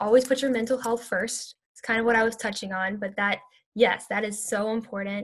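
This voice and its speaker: Somewhat breathy, a woman with an American accent talks at a fairly high pitch with fairly even intonation. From US South, Louisiana (Baton Rouge), later Houston. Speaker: university student and activist. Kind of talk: interview.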